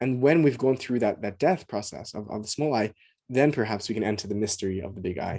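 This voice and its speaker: Talking at a very fast pace, a man has a fairly low pitch and a dark, mellow tone. His pitch varies in an ordinary way, and the background is quiet. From Australia, Sydney. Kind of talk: casual conversation, podcast interview. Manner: animated, enthusiastic; halting, many repetitions and fillers.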